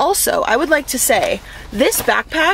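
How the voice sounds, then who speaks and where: A woman's voice moves through very wide pitch swings. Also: dry sound with no echo. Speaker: fitness vlogger. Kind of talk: casual vlog chat. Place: car. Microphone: phone near.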